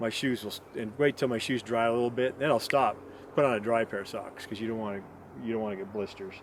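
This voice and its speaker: A man's very fast delivery, medium in pitch, with fairly even intonation. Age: 60s. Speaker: backpacking vlogger. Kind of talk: casual tutorial monologue. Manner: rambling, many fillers.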